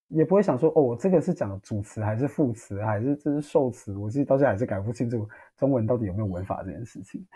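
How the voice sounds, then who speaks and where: A man talks very fast with hardly any pauses. His medium-pitched voice has lively intonation. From Taiwan, Taitung. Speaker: social work student. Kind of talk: casual interview.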